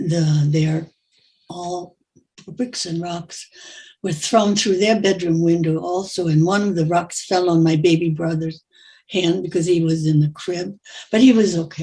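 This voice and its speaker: Somewhat breathy, a woman speaks with a fairly low pitch and a dark, mellow tone, keeping a fairly slow pace and fairly even intonation. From Germany. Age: 90s. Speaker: Holocaust survivor. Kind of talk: testimony.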